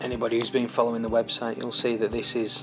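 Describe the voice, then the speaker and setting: A medium-pitched man with a Yorkshire accent, music in the background. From Yorkshire, England. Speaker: kit car builder. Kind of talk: narrated project walkthrough. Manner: casual, hesitant.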